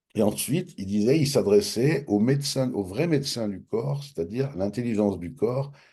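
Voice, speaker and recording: A man speaks at a moderate pace with lively intonation and a medium pitch. His tone is dark and mellow, and the background is quiet. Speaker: author of a self-development method. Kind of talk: interview storytelling. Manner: casual, hesitant with fillers and repetitions.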